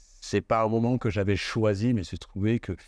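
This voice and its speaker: A man at a moderate pace with fairly even intonation over a quiet background. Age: 60s. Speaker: actor and dubbing studio owner. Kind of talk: interview. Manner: hesitant, many fillers.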